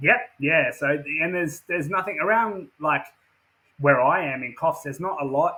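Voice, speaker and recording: This man speaks with an Australian accent at a moderate pace. His pitch is fairly high with ordinary variation. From Western Australia. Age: 30s. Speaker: professional wrestler. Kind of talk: casual interview chat. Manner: repetitive, filler-heavy.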